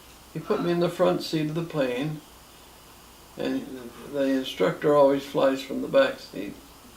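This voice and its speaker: Pausing long and often, a man with a Canadian accent speaks through noticeable background noise and audible room echo. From Ontario, Canada. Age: 70s. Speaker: grandfather telling his life story. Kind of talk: oral history interview. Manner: halting with fillers.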